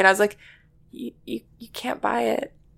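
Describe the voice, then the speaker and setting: Noticeable background noise sits behind a woman speaking with a Canadian accent. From Vancouver, western Canada. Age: 20s. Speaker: vintage shop owner. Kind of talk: casual interview. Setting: at home.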